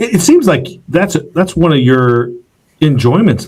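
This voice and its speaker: Somewhat breathy, a man talks at a moderate pace with very wide swings in pitch. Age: younger than 77. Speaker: podcast host, founder. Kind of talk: podcast interview.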